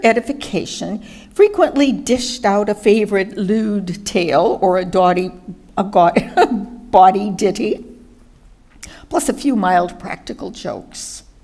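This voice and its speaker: A woman is speaking at a fairly slow pace. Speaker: retired chemist, war veteran of home front. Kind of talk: reading aloud a memoir.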